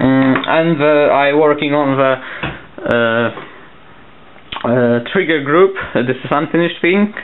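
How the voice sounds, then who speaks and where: There is noticeable background noise as a man with a Polish accent speaks at a fairly slow pace, leaving long, frequent pauses. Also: fairly high pitch for a man, ordinary pitch variation. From Poland. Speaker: papercraft hobbyist. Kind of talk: tutorial. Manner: halting.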